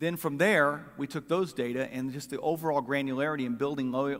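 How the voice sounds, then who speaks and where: A man talks with a fairly high pitch and fairly even intonation. The recording is very clean, with a silent background. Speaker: political strategist. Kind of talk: conference talk. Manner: fast.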